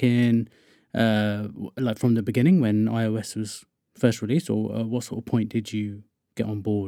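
A man with a southern English accent is heard on a very clean recording with a silent background. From southern England (Wokingham, west of London). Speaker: podcast host, iOS developer. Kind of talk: casual interview chat.

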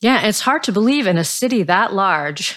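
Speaking at a fairly slow pace, a woman uses lively intonation with vocal fry on a very clean recording with a silent background. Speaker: podcast host. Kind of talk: interview questions.

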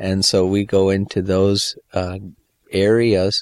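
The delivery is monotone and flat, in an Upper Midwest accent. The sound is dry and close with no echo, on a very clean recording with a silent background. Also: man. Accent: Upper Midwest American. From Michigan, US. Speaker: missionary. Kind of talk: interview.

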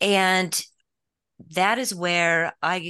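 A woman with an American accent and a bright, sharp tone, against a quiet background. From US West. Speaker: author. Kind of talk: interview.

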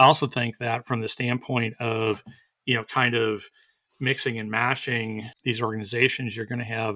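The voice has a bright, sharp tone, a moderate pace and a monotone, flat intonation. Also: man. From Wisconsin. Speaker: employment lawyer. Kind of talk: casual expert discussion. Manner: halting, many repeated words.

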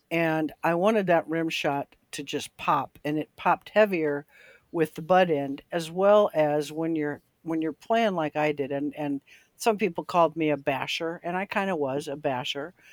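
A woman speaks at a moderate pace in a very deep, low pitch, with ordinary pitch variation. The recording is very clean, with a silent background. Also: dry, close sound with no echo. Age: 70s. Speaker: drummer, former rock band member. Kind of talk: casual podcast chat.

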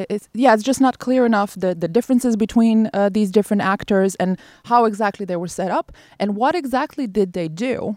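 Moderately paced, a woman speaks at a fairly high pitch with ordinary pitch variation and a dark, mellow tone. The recording is very clean with a silent background and a dry, close sound with no echo. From former Yugoslavia. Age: 30s. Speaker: war crimes researcher, PhD student. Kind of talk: interview. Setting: outdoors in a cemetery.

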